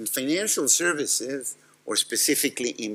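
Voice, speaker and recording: A man is speaking with a Serbian accent. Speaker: tech company executive. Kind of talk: conference talk.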